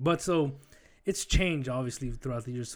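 This clip holds an unremarkable speaking voice whose pitch varies in an ordinary way. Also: man. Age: 30s. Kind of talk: casual chat.

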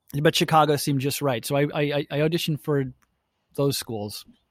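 With a dry, close sound and no echo, a man talks at a fairly quick pace. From Milwaukee, Wisconsin, US Midwest. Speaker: actor and theater company founder. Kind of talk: casual interview. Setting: outdoors in backyard, remote call.

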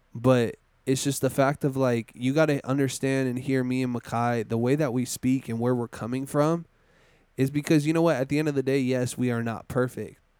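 Delivered at a fairly quick pace in a flat monotone, this voice comes through on a very clean recording with a silent background. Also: man, medium pitch for a man. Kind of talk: pep talk. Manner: heartfelt, earnest, fired-up.

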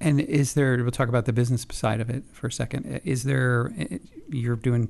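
Speaking fairly quickly with vocal fry, a man with an American accent uses a medium pitch and ordinary pitch variation. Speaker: communications director and interviewer. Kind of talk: interview. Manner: casual, conversational.

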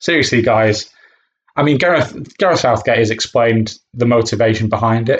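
In an ordinary speaking voice, a man of medium pitch talks at a moderate pace with ordinary pitch variation and very even loudness. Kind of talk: angry rant. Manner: indignant, sweary, sarcastic and scornful, spitting out insults at the booing fans.

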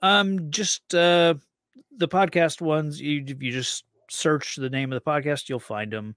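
In a very clean recording with a silent background and a dry, close sound with no echo, a man with a normal speaking voice talks at a fairly slow pace, his pitch fairly high with ordinary variation. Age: 30s. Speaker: comic book podcaster. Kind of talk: casual chat.

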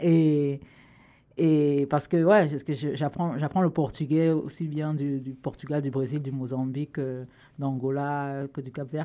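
On a very clean recording with a silent background, a woman speaks at a very slow pace in a very deep, low pitch, with a dark, mellow tone and fairly even intonation. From Cameroon. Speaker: writer and comedian. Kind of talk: casual interview chat.

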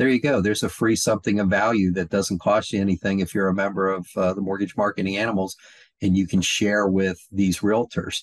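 A man with a normal speaking voice talks at a fairly quick pace in a fairly low pitch, his intonation fairly even and his loudness very even, in a dry, close sound with no echo. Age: 60s. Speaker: mortgage industry coach. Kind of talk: podcast interview.

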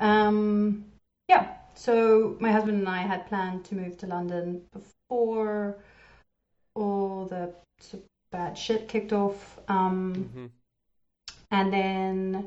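The speaker, with a slight South African accent, talks at a very slow pace in a monotone, flat delivery. Long pauses come often. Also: woman, medium pitch for a woman. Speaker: game developer. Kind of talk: casual interview.

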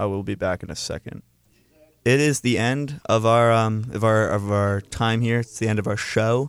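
A man's normal speaking voice, medium in pitch, with fairly even intonation at a moderate pace. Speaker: student radio co-host. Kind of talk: casual chat. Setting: studio.

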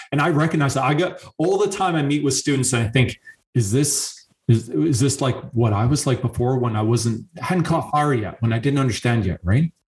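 A man with a Canadian accent speaks at a fairly quick pace and a medium pitch, somewhat breathy. His intonation is lively while his loudness stays very even. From Canada. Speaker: engineering professor. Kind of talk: podcast interview.

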